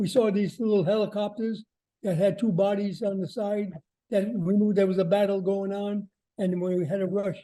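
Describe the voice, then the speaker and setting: Speaking with an American accent, a man with a high pitch and a dark, mellow tone keeps a moderate pace and fairly even intonation. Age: 90s. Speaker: war veteran. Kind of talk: testimony. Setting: video call. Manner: halting.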